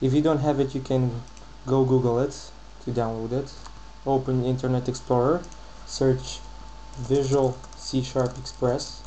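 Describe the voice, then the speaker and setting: A man at a moderate pace with very even loudness, long, frequent pauses and noticeable background noise. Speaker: programming tutorial maker. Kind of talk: screen-recorded software tutorial.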